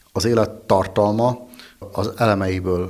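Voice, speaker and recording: A man's fairly low voice carries fairly even intonation. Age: 40s. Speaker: winemaker. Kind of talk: interview.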